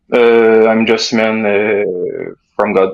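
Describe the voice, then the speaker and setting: This voice speaks very slowly with a Quebec accent. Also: man. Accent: French Canadian accent in English. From Quebec, French Canada. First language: French. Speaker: caller. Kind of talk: call-in chat. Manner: halting, many fillers.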